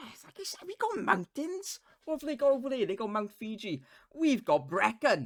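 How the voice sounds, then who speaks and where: This man speaks at a moderate pace with a Welsh accent and an extremely high pitch. His pitch swings very widely, and his loudness rises and falls in big swings. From Wales. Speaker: podcast co-host. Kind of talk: casual chat. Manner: animated.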